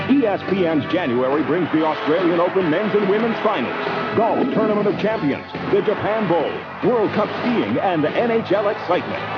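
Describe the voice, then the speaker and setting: Music plays in the background as a man speaks at a moderate pace with a high pitch. His intonation is lively and his loudness stays very even. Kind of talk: TV promo announcer read.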